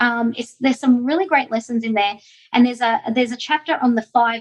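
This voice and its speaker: In an Australian accent, a woman speaks with a fairly high pitch. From Australia, Melbourne. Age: 50s. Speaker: direct selling entrepreneur. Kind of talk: interview. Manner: animated.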